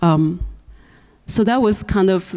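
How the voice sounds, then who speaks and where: A woman with a Chinese accent at a fairly slow pace, with ordinary pitch variation. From China. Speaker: novelist and filmmaker. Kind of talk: seminar talk.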